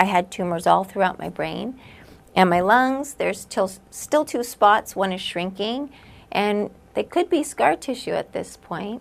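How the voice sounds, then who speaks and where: A woman speaks at a fairly slow pace with a medium pitch and vocal fry. The recording is very clean, with a silent background. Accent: American. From Southern California. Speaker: cancer patient. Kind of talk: testimony.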